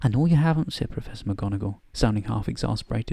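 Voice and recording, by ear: Someone reading aloud in a natural voice, the intonation lively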